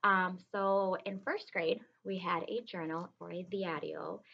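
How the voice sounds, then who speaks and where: Her voice sits fairly low in pitch. This woman has a Spanish accent. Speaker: kindergarten teacher. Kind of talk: reading aloud to children. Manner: casual, hesitant with many ums.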